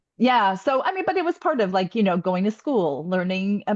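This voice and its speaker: A woman with a Chicago accent, very wide pitch swings, and a dry, close sound with no echo. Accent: US Midwest (Chicagoland). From Northwest Indiana (East Chicago), Polish immigrant community. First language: Polish. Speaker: podcast co-host. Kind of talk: casual chat.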